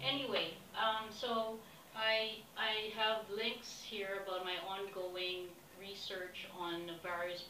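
A woman speaks at a very slow pace against noticeable background noise. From Philippines. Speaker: expedition applicant. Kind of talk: self-recorded application pitch. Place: home room. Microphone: webcam.

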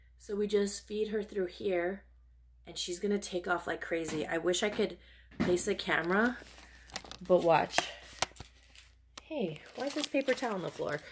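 Against noticeable background noise, a woman talks at a moderate pace with ordinary pitch variation and long, frequent pauses. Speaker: lifestyle vlogger. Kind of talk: casual vlog chat. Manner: animated. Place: home room. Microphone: phone near.

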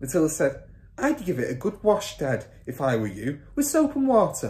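This is an unforced reading voice. It sounds natural and unstrained.

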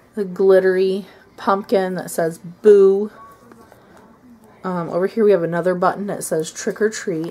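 Against noticeable background noise, a woman with an American accent and medium pitch talks at a fairly slow pace in a monotone, flat way, pausing long and often. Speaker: craft vlogger. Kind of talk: casual show-and-tell tutorial. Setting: at home, child in room. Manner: casual, hesitant with fillers.

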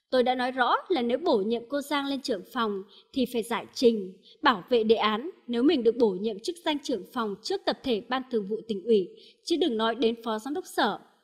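Her intonation lively and her pitch high, a woman talks at a fairly quick pace on a very clean recording with a silent background. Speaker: news commentator reading reports. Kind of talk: news reading.

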